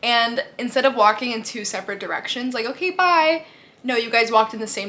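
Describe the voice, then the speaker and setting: A woman speaks at a fairly quick pace with lively intonation and fairly high pitch. Noticeable background noise can be heard. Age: 20s. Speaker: beauty and lifestyle youtuber. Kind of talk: casual Q&A vlog. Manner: animated.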